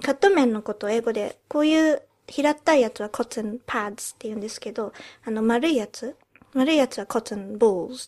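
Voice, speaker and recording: A woman's unremarkable speaking voice, fairly high-pitched and fairly quick, with big swings in loudness on a very clean recording with a silent background. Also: ordinary pitch variation. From England. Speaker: podcast co-host. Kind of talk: casual chat. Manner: frequent switching between Japanese and English.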